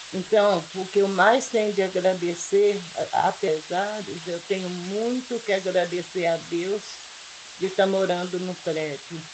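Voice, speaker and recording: Medium-pitched woman's voice at a fairly slow pace, with fairly even intonation and noticeable background noise. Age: 70s. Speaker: local resident. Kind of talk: testimony.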